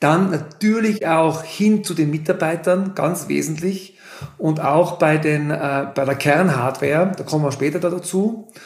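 Over noticeable background noise, a man with a Tyrolean accent talks at a fairly slow pace in a fairly high pitch with ordinary pitch variation. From Austria, Tyrol (Innsbruck area). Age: 40s. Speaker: ski lift company executive. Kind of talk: interview.

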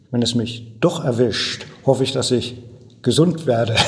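With noticeable background noise behind him, a man talks at a fairly slow pace with fairly even intonation. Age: 70s. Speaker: retired former mayor. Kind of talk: interview answers.

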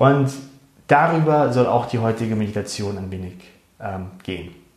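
Noticeable background noise is audible. A man talks over it. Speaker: meditation guide. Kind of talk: guided meditation. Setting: recorded live show for Facebook. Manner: calm, slow and soothing, soft-spoken, with gentle pauses.

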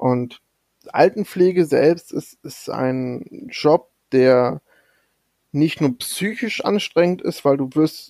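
This man's voice has a dark, mellow tone and a fairly high pitch. His pitch varies in an ordinary way. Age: 30s. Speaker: podcast co-host, data entry clerk. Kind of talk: casual chat. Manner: soft-spoken.

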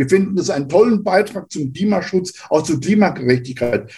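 A man speaks with a high pitch, lively intonation and a dark, mellow tone. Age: 70s. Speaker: retired sociology professor. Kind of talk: podcast interview.

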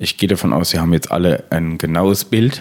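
A man's voice with a very deep, low pitch. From Palatinate, Germany. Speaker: podcast host, communication trainer. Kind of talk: partly scripted podcast talk.

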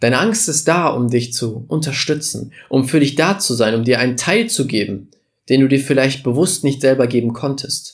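The speaker is a man with a medium-pitched voice. His delivery is somewhat breathy. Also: ordinary pitch variation, moderate pace. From Germany, village. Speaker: podcast host, business coach. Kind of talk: motivational monologue. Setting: studio podcast recording.

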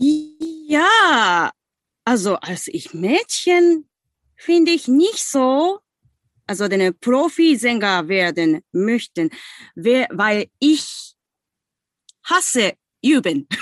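A woman's high voice with very wide pitch swings, in a Japanese accent, at a very slow pace with long, frequent pauses, the sound dry and close with no echo against a quiet background. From Japan, Osaka. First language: Japanese (speaking German). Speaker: singing teacher. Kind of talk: guided exercise; interview. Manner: halting.

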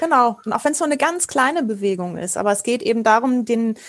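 Fairly high-pitched and fairly quick, a woman with a normal speaking voice. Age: 40s. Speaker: improv actor and trainer. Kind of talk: interview.

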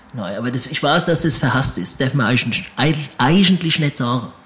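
A man talks at a fairly high pitch with ordinary pitch variation. Noticeable background noise is present. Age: 30s. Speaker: comedian. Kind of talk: interview.

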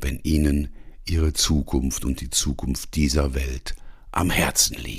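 The voice carries vocal fry along with ordinary pitch variation. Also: man. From Ruhr area, Germany. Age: 60s. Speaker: coach and podcast host. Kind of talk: scripted podcast intro monologue.

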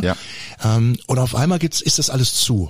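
Here a man talks at a medium pitch with lively intonation. His voice is somewhat breathy. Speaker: podcast co-host. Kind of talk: casual chat.

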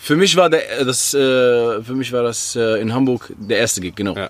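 A man with a medium pitch uses a normal speaking voice, moving at a moderate pace with ordinary pitch variation. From Algeria (Oran), moved to Germany. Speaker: rapper. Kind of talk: casual chat. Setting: garden.

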